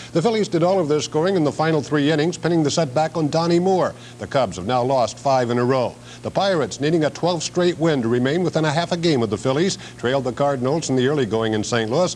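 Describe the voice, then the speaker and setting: A very fast pace from a man with an American accent, fairly high in pitch, with lively intonation and noticeable background noise. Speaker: TV sports anchor. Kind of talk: local TV sports report.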